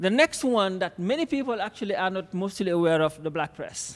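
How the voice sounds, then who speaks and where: A man speaks with a non-native accent. His voice is high-pitched. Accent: foreign. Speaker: conference speaker, academic. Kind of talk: conference talk. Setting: stage with audience.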